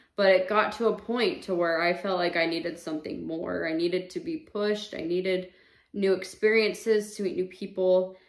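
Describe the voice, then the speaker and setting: Over a quiet background with audible room echo, a woman speaks at a moderate pace with ordinary pitch variation. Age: 30s. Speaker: vlogger. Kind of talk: personal testimony. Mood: calm, reflective about loss. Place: home room. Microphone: camera far.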